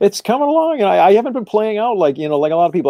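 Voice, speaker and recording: The speaker is a man with an American accent. His pitch swings very widely. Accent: Boston accent, stronger when tired. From Massachusetts, Boston area. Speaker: actor and musician. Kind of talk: casual chat. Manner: halting, repeats words.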